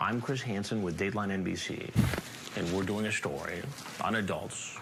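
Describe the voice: The passage is read out plainly.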